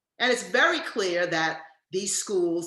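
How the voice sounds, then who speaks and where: A woman's fairly low voice with lively intonation at a moderate pace, in a room with audible echo. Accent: American. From US Northeast (Massachusetts and New York). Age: 70s. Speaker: education professor. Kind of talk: lecture.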